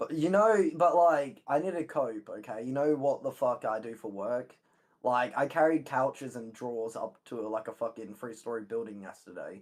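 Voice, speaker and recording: Speaking at a moderate pace with lively intonation, a man uses an ordinary speaking voice at a medium pitch. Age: 20s. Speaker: mover. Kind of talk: heated debate.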